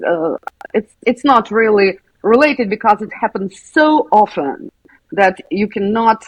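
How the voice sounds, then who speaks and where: A woman with a Russian accent talks at a fairly slow pace and a fairly high pitch, sounding somewhat breathy. Her pitch swings very widely. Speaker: school psychologist. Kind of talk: interview.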